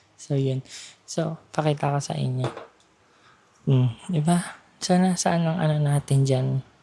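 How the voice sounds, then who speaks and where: A woman speaks at a very deep, low pitch with a dark, mellow, somewhat breathy tone. Her pace is fairly slow, her intonation fairly even, and she takes long, frequent pauses. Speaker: vlogger. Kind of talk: casual walking vlog. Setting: outdoors, walking on street at night. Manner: soft-spoken.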